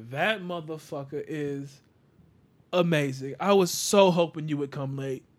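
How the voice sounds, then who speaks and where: A man with a normal speaking voice and a fairly high pitch speaks at a fairly slow pace, with ordinary pitch variation and big swings in loudness. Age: 30s. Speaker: podcast host. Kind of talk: casual chat.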